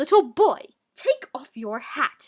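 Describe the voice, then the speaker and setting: A woman growls her way through a put-on character voice. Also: dry, close sound with no echo. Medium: read story. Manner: stern, commanding.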